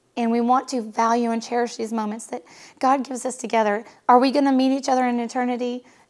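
A woman speaks at a very fast pace with a high pitch and monotone, flat intonation. The recording is very clean, with a silent background. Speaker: hairdresser and coach's wife. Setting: home.

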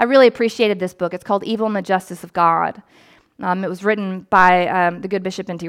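In a very clean recording with a silent background, a woman speaks at medium pitch with fairly even intonation. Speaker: priest and pastor. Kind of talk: sermon. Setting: church. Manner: fast.

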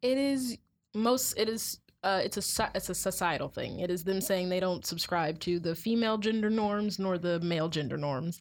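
A woman uses an ordinary speaking voice at a medium pitch and a moderate pace. Her ordinary pitch variation sits on a very clean recording with a silent background. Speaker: college student. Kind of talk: casual chat.

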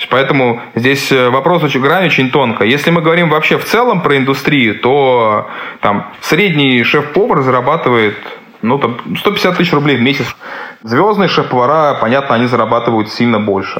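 Speaking at a moderate pace with lively intonation, a man at medium pitch is heard amid noticeable background noise and audible room echo. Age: 30s. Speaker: chef. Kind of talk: interview.

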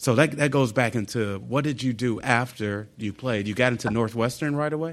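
Over a quiet background, a man uses an ordinary speaking voice at medium pitch, moving at a moderate pace with ordinary pitch variation. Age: 40s. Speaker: basketball coach, podcast co-host. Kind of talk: casual chat.

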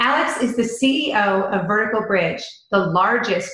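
An ordinary speaking voice from a woman at a moderate pace, with ordinary pitch variation. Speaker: podcast host. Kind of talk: casual interview.

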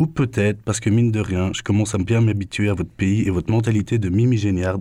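A man with a Belgian accent, fairly low in pitch, with a dark, mellow tone, fairly even intonation, and a very fast pace. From Belgium. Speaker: radio columnist. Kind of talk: scripted humour column.

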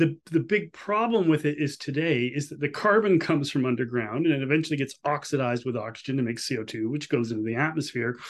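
A man with a Canadian accent talks at a very fast pace with hardly any pauses, using a fairly high pitch and lively intonation against a quiet background. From Canada. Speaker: economist. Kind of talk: interview. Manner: halting, frequent restarts.

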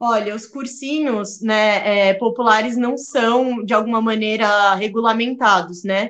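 Delivered in an ordinary speaking voice, the speech moves at a fairly slow pace with fairly even intonation and hardly any pauses. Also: woman, fairly high pitch for a woman. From São Paulo, Brazil. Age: 20s. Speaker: political scientist and youth activist. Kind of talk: interview.

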